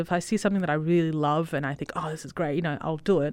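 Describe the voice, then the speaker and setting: Against a quiet background, the pitch rises and falls in an ordinary way. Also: woman. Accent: Australian. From Italy, then Western Australia. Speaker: cosplayer and costume maker. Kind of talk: casual chat.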